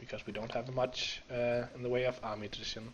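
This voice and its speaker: Noticeable background noise sits behind a man of medium pitch. He talks at a fairly quick pace with monotone, flat intonation. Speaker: video game let's play creator. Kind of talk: gameplay commentary. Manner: casual, thinking aloud.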